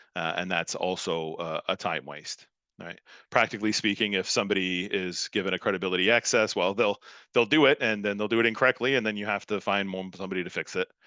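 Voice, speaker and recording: A man's very fast speech at a fairly low pitch, bright and sharp in tone with ordinary pitch variation, dry and close with no echo, against a quiet background. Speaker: academic speaker at a workshop. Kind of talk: conference talk. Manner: hesitant, many fillers.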